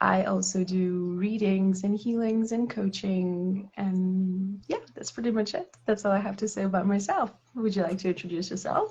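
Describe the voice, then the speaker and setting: Speaking with a French accent over noticeable background noise, a woman of medium pitch keeps a moderate pace, fairly even intonation and hardly any pauses. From France. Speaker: tarot reader. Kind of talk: casual chat. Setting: live stream.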